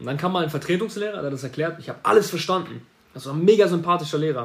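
A man with a fairly high pitch speaks in an animated tone with lively intonation. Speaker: marketing agency owner podcaster. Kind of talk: solo podcast monologue. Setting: home office.

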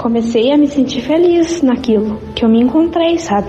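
Spoken at a moderate pace with ordinary pitch variation, the voice comes through over noticeable background noise. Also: woman. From southern Brazil, Rio Grande do Sul (Arroio dos Ratos). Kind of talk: testimony.

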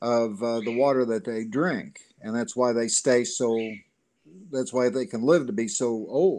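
The man's pitch rises and falls in an ordinary way. He talks in a Southern US accent. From Gulf Shores, Alabama. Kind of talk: casual interview.

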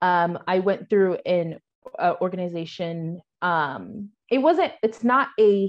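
The speech comes at a very slow pace with lively intonation. It carries a General American accent. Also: woman. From US Pacific Northwest, Washington. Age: 20s. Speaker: Air Force veteran and virtual assistant. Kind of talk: interview.

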